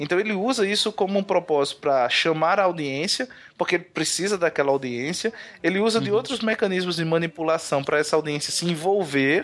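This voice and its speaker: This man has a high pitch and a fairly quick pace. His loudness stays very even. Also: ordinary pitch variation. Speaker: podcaster. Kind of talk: casual chat.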